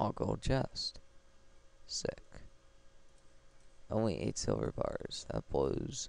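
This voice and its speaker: A man talking at a very slow pace, with long, frequent pauses. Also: very even loudness. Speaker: gaming video creator. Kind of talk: let's play commentary. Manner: stumbles over words.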